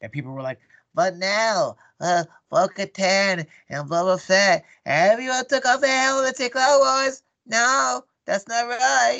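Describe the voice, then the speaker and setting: A man's put-on character voice, high-pitched, raised and projected, at a fairly slow pace. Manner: earnest, nerdy.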